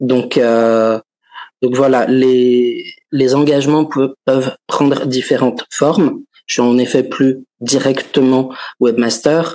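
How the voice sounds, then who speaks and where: Speaking at a very slow pace, the man keeps his intonation fairly even. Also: medium pitch for a man. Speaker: journalist, webmaster. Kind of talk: interview. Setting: video call from office.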